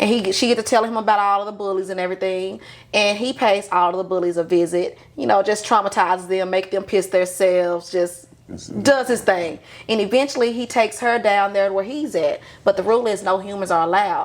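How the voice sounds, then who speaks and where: A woman with a Southern US accent talks at a fairly quick pace, her medium pitch showing ordinary variation. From US South. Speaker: podcast guest, aspiring writer. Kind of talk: casual chat.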